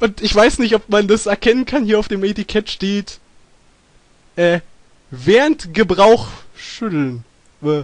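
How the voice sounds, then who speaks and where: Against a quiet background, a man talks at a very slow pace with long, frequent pauses, the sound dry with no echo. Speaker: gaming streamer. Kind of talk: casual let's play chat.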